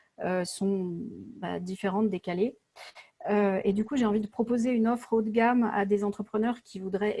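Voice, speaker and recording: Dark and mellow in tone, a woman of medium pitch speaks at a moderate pace with fairly even intonation. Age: 40s. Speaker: entrepreneur. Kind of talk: coaching session. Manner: halting.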